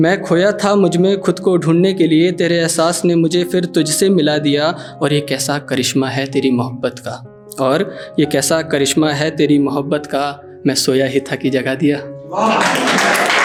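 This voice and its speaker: A man's fairly high-pitched voice with ordinary pitch variation, music in the background. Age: young. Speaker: poet. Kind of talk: live spoken-word poetry performance with casual audience banter.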